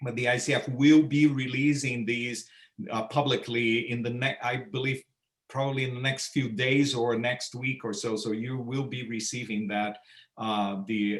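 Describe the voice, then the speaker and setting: The speaker has a Portuguese accent, with fairly even intonation and a moderate pace. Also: man, medium pitch for a man. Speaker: coach, translator of coaching standards. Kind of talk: webinar Q&A answer. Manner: halting, repeats words.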